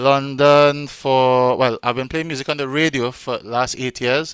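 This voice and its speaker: A man speaks with a strong Trinidadian accent in a monotone, flat intonation. The recording is very clean with a silent background and a dry, close sound with no echo. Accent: Trinidadian, still strong. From Trinidad and Tobago. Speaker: event co-host, radio DJ and chef. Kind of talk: casual chat.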